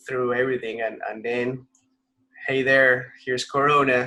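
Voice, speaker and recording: A man with a Spanish accent talks at a fairly slow pace and medium pitch. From Colombia, Bogotá. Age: 30s. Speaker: racing driver. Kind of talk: interview. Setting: video call.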